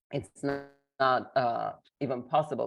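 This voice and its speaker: A woman's very deep, low voice at a moderate pace against a quiet background. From Lebanon (Armenian town of Anjar). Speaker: educator and trainer. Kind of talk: interview.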